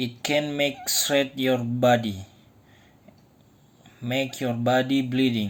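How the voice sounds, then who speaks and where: Speech comes at a very slow pace in an Indonesian accent. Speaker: DIY tool maker. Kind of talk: tutorial. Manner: halting.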